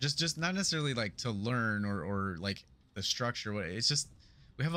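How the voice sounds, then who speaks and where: With an American accent, a man speaks at a moderate pace in a bright, sharp tone, his medium pitch carrying lively intonation on a very clean recording with a silent background. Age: 40s. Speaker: video game streamer. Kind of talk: casual chat. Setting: live stream. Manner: halting; casual.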